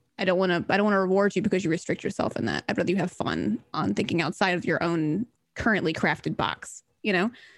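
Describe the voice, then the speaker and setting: This is a woman with a medium pitch. She speaks with an American accent. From Mississippi, US South. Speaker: artist, streamer and dungeon master. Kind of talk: casual chat, reading world intro aloud.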